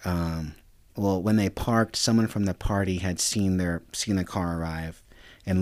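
A man with an American accent speaks at a very deep, low pitch and a moderate pace. His intonation is fairly even, and the recording is very clean with a silent background. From Reno, Nevada. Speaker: lawyer and political advisor. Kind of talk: casual chat. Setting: studio.

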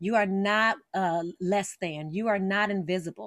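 Recorded very cleanly with a silent background and a dry, close sound with no echo, a woman with an American accent has an unremarkable speaking voice, medium pitch, ordinary pitch variation and a fairly slow pace. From Las Vegas, Nevada, US. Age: 40s. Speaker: author. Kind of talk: interview.

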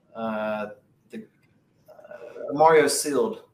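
A man's voice with lively intonation and an American accent. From US South. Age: 30s. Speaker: strongman athlete. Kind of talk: casual chat.

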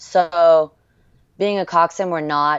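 With an American accent, a woman speaks with fairly even intonation. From France and US. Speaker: rowing coxswain. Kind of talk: interview. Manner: hesitant with many ums.

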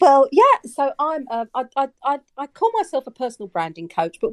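A woman talks at a moderate pace, with a dry, close sound and no echo. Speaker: listener guest, business owner. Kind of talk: casual chat. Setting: video or audio call. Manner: hesitant, repeats words.

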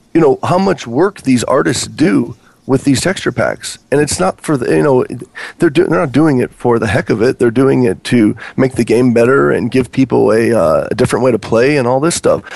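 At a moderate pace, a man talks at medium pitch with lively intonation and vocal fry. His loudness stays very even. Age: 30s. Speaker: Minecraft YouTuber and website owner. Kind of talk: casual chat.

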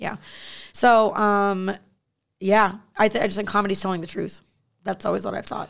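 With long, frequent pauses, a woman speaks in an animated tone at a medium pitch. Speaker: stand-up comedian. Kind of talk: casual interview chat. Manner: animated, fast, profane.

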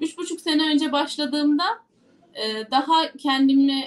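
A woman speaks at a high pitch. Her pace is moderate. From Turkey, Yozgat. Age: 20s. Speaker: parliamentary candidate and lawyer. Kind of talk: interview. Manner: energetic.

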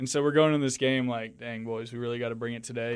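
A man talks in a normal speaking voice, medium in pitch, with fairly even intonation. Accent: American. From Houston, Texas. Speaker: professional baseball pitcher. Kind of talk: casual interview.

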